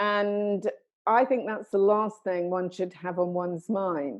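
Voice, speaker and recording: At a fairly slow pace, a woman of medium pitch talks in a plain, everyday voice. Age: 60s. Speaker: life coach and entrepreneur. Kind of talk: interview. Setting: video call.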